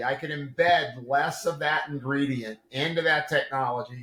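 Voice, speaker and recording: A man speaks in an animated tone at a fairly high pitch. His pitch varies an ordinary amount. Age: 60s. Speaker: integrative medicine practitioner and supplement developer. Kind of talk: podcast interview. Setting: video call.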